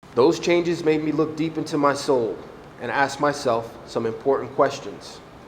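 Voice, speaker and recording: Audible room echo and noticeable background noise surround speech delivered at a moderate pace. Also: man, fairly high pitch for a man, fairly even intonation. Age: 40s. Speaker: adult education graduate. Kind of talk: graduation speech.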